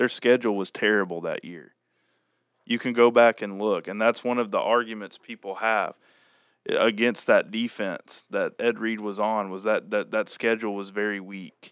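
With an American accent and a fairly low pitch, a man speaks at a moderate pace in monotone, flat intonation, his loudness swinging widely in a dry, close sound with no echo. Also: very clean recording, silent background. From Oklahoma, US. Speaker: sports fan guest. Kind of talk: casual chat.

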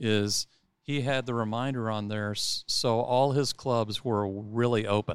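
A man with an American accent speaks in a plain, everyday voice at a medium pitch with fairly even intonation, recorded very cleanly and dry and close with no echo against a silent background. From Texas. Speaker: golf club director. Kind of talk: casual interview. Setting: in person studio.

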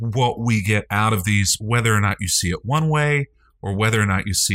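Someone is reading aloud in a natural voice.

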